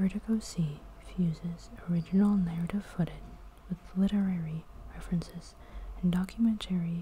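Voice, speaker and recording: A soft-spoken, calm delivery in a flat monotone, broken by long, frequent pauses. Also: woman, fairly low pitch for a woman, moderate pace. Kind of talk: ASMR gallery tour narration, soft spoken. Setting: art gallery with background noise.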